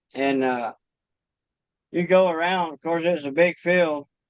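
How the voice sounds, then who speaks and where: A man with a Kentucky accent at a fairly slow pace, fairly even intonation, and a dry, close sound with no echo. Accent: rural Kentucky, US South. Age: 40s. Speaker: trapper. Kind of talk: podcast interview. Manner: casual, conversational.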